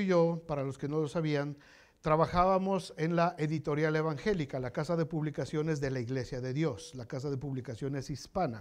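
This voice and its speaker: Moderate-paced male speech over a quiet background. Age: 60s. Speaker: pastor. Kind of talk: sermon. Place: church. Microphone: lapel.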